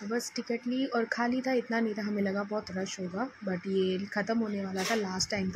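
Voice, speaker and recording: Over noticeable background noise, a woman speaks at a medium pitch. Her pace is fairly slow and her intonation fairly even. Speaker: vlogger, mother. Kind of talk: vlog narration. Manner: casual.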